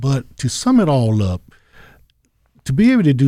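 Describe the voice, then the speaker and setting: A man speaks with a North Carolina accent. His tone is dark and mellow, and his pace is moderate. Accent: US Southern, North Carolina. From eastern North Carolina, Goldsboro. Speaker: alumni association president, retired Army veteran. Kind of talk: interview.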